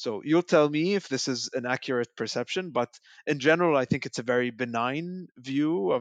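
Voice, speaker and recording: Over a quiet background, a man uses a normal speaking voice at a fairly quick pace with lively intonation. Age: 30s. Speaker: policy researcher. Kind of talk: panel discussion.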